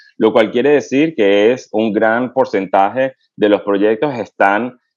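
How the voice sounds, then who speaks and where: Against a quiet background, a man at a medium pitch speaks at a very slow pace with ordinary pitch variation. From Venezuela. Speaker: pediatric infectious disease physician and researcher. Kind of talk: interview. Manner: halting, with frequent fillers.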